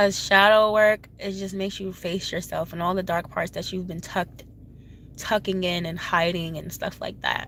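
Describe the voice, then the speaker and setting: The delivery comes at a moderate pace with monotone, flat intonation. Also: woman, medium pitch for a woman. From Haiti. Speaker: spiritual advisor, tarot reader. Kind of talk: casual advice talk to camera.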